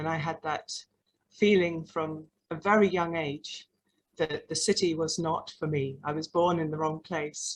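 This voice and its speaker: In a London accent, the speaker delivers the words in a monotone, flat intonation. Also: woman, fairly low pitch for a woman, fairly slow pace. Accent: English (London), noticeable. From London, England. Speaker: artist and arts practitioner. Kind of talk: panel talk. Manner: hesitant, with fillers.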